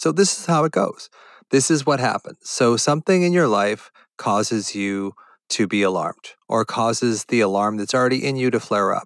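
Lively intonation carries an unremarkable speaking voice along at a moderate pace. No echo is heard, and the sound is dry and close. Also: man, medium pitch for a man. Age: 60s. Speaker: podcast host, physician and anxiety coach. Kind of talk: solo educational podcast monologue. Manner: conversational, with sighs and laughs.

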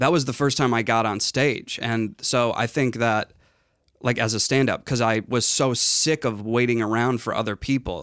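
In a very clean recording with a silent background, a man uses a normal speaking voice of medium pitch, keeping a moderate pace and fairly even intonation. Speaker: comedian and TV writer. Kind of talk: casual chat.

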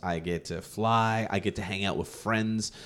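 Recorded very cleanly over a silent background, a man talks at a moderate pace in a plain, everyday voice with a fairly low pitch. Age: 30s. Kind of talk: casual chat.

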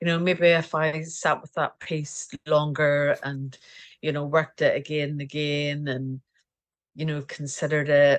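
Against a quiet background, a woman with a Scottish accent speaks at a fairly slow pace in a very deep, low voice, her intonation monotone and flat but her loudness swinging widely. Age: 40s. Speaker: portrait painter. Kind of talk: casual interview.

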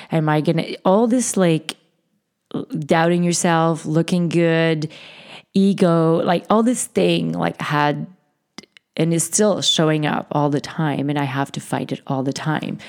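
A woman's fairly low voice moves at a fairly slow pace, showing ordinary pitch variation. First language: not English. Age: 40s. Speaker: podcast host. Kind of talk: interview conversation.

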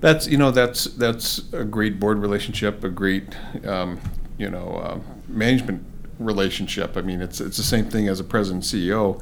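The man talks at a moderate pace in a fairly low voice. His speech carries audible room echo. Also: ordinary pitch variation. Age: 50s. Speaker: bank executive and podcast host. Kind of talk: interview.

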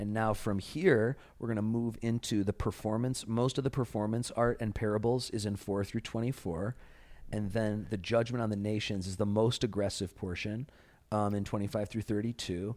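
On a very clean recording with a silent background, a man with an American accent speaks in a normal speaking voice at a fairly low pitch and a moderate pace. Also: fairly even intonation. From US Midwest, Chicago. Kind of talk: Bible study discussion.

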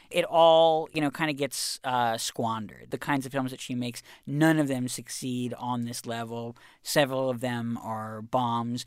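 A man with a plain, everyday voice speaks at a moderate pace and medium pitch with fairly even intonation, in a very clean recording with a silent background. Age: 30s. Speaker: culture reporter and author. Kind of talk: casual interview.

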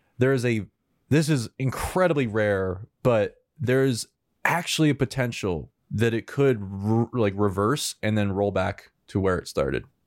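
A man talks at a fairly slow pace with lively intonation. The sound is dry and close, with no echo. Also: medium pitch for a man. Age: 20s. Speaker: filmmaker. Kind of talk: casual chat. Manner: halting.

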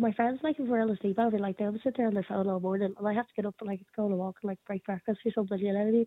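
A woman in an Irish accent, very fast, with big swings in loudness. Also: medium pitch for a woman, hardly any pauses. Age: 20s. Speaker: radio panelist. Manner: fast talker; hyper, energetic, jumps between topics.

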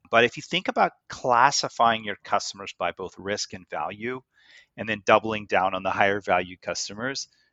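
In a Canadian accent, a man talks at a moderate pace with ordinary pitch variation. He has an ordinary speaking voice. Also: fairly low pitch for a man, big swings in loudness. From Canada (Goderich, Ontario). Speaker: tech executive and investor. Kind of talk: interview.

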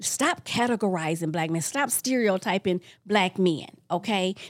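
On a very clean recording with a silent background, an ordinary speaking voice keeps a moderate pace and shows ordinary pitch variation. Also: woman. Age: 60s. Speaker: self-published author and magazine creator. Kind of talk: interview.

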